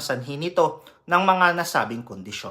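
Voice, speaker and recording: Bright and sharp in tone, a man speaks with a Filipino accent. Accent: Filipino (Tagalog). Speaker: nurse educator. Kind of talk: health education lecture. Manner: formal.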